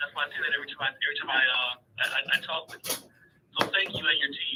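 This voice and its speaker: Over noticeable background noise, a man talks at a very fast pace. He has an American accent. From Chicago, South Side. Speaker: caller. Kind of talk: radio call-in. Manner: halting, many repetitions.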